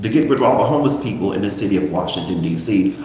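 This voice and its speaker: Lively intonation from a man with an American accent, with audible room echo and noticeable background noise. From Louisiana. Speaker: YouTube livestreamer and local activist. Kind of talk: casual live stream monologue. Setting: YouTube live stream.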